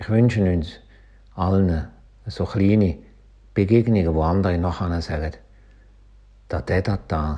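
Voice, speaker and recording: The speaker has a Schaffhausen accent and talks at a very slow pace. The voice is somewhat breathy and dark, mellow in tone, with ordinary pitch variation. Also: man. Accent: Swiss German, Schaffhausen dialect. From Switzerland, Schaffhausen. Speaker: pastor. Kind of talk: short radio devotional.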